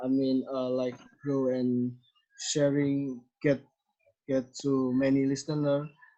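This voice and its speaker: A man speaks with an Indonesian accent. His pitch is fairly high and his pace very slow. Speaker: podcast host. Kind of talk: casual interview. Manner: halting.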